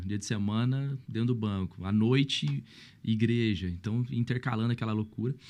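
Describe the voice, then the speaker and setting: A fairly low-pitched man at a moderate pace, with ordinary pitch variation and a quiet background. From Brazil, São Paulo state (Mogi). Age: 30s. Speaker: pastor. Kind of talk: podcast interview, casual chat. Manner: animated.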